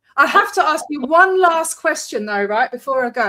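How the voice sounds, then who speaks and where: Projecting a raised voice, a woman speaks at a high pitch and a fairly quick pace. Her pitch makes very wide swings. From Scotland, Glasgow. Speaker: podcast interviewer. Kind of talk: casual interview chat. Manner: animated.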